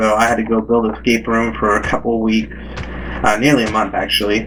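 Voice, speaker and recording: Over noticeable background noise, a man talks at a fairly quick pace and medium pitch, with monotone, flat intonation and very even loudness. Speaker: gaming YouTuber. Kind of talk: gameplay commentary.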